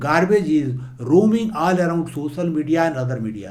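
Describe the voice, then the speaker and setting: At a moderate pace, a man with a fairly high pitch swings his voice very widely up and down, with audible echo in the room. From India, rural eastern Uttar Pradesh. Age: 70s. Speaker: motivational speaker and former civil servant. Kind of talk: motivational talk.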